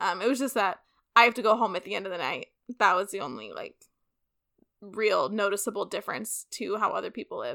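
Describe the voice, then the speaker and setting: A woman with a Californian accent talks at a very fast pace, with long, frequent pauses and big swings in loudness, in a very clean recording with a silent background. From San Francisco Bay Area. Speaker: podcast co-host, former student. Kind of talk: casual chat.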